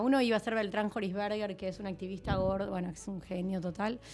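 Here a woman talks at a fairly quick pace. Her intonation stays fairly even. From Argentina. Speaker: film director and producer; interview guest. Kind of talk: casual interview. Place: studio. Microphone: studio mic.

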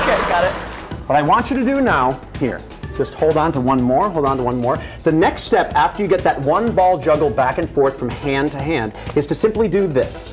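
The voice moves at a fairly quick pace with clear music in the background. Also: man, fairly high pitch for a man. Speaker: professional speaker, comedian and juggler. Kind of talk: motivational keynote stage talk to an audience. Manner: engaging, upbeat.

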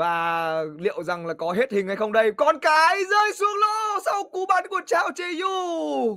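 The speaker talks at a very slow pace with hardly any pauses. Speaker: pool match commentator. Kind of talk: live sports commentary on a pool match. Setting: studio commentary over match footage. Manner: tense and suspenseful, lingering on each shot.

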